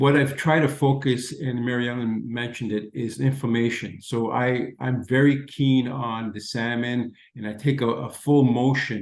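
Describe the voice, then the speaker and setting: Using a plain, everyday voice, a man speaks at medium pitch and a moderate pace with fairly even intonation and hardly any pauses. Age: 60s. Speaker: product user giving testimony. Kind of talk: testimony.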